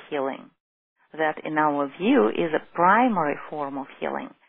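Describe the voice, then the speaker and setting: Speaking with a Russian accent, a woman keeps a moderate pace. Her pitch shows ordinary variation. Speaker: holistic physician. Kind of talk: lecture. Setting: teleclass.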